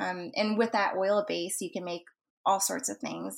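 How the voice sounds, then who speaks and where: A woman speaks with an American accent at a moderate pace. The recording is very clean, its background silent. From Texas (Dallas), US. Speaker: food photographer and cannabis chef. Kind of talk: interview. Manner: frequent fillers (um, uh).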